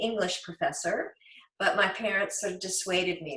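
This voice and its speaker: This is a woman speaking at a medium pitch. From rural Virginia, US. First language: German. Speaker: author and naturalist. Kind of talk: interview.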